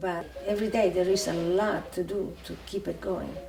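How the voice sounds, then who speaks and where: Over music in the background and audible room echo, a woman talks at a fairly slow pace. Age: 80s+. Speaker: cat sanctuary founder. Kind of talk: documentary interview monologue. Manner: halting, with many fillers.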